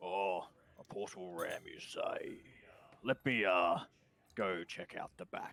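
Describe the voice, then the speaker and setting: A man uses a raspy, put-on character voice, speaking at a fairly slow pace with long, frequent pauses. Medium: actual play.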